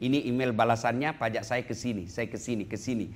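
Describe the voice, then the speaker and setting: At a very fast pace, a man speaks with a medium-pitched voice. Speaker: Islamic preacher. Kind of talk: Islamic sermon (tausiyah) to an audience. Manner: humorous, lively preaching style.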